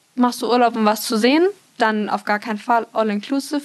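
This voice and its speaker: Noticeable background noise sits behind a woman talking in a high pitch. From Munich, Bavaria. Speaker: marketing student and trainee. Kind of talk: casual chat.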